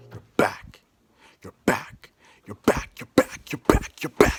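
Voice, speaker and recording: A man's put-on character voice at a fairly slow pace. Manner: screaming, repeating.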